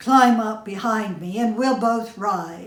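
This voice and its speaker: A woman's put-on character voice, fairly high in pitch and fairly slow in pace. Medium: read story.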